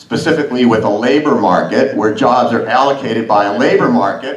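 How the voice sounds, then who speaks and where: A man speaks with ordinary pitch variation and very even loudness. The recording has audible room echo and noticeable background noise. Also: medium pitch for a man, fairly quick pace. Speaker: academic conference speaker. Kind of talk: conference talk.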